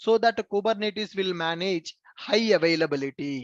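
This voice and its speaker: A man speaks with lively intonation in a dry, close sound with no echo. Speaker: software trainer. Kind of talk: live online class lecture. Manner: slow, repetitive explanation.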